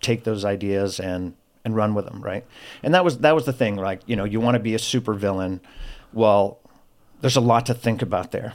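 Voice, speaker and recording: In a very clean recording with a silent background, a man with an unremarkable speaking voice talks at a fairly low pitch with fairly even intonation. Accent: American. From US South, Florida. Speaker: former convict with a redemption story. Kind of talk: testimony.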